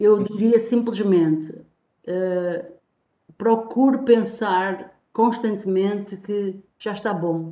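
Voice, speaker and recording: In a room with audible echo, a woman speaks very slowly at a medium pitch, with a dark, mellow tone and fairly even intonation. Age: 50s. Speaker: TV talk show co-host. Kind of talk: TV panel discussion.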